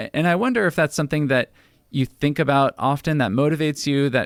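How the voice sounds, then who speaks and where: A man with a normal speaking voice, fairly high in pitch with ordinary variation, on a very clean recording with a silent background and a dry, close sound free of echo. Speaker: radio show host. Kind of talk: radio interview questions.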